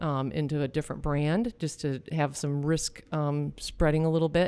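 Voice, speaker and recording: A woman with an American accent speaks at a moderate pace, with a very deep, low pitch and a dark, mellow tone, in a very clean recording with a silent background. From US Midwest, Michigan. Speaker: restaurant franchise owner. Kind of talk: casual interview chat.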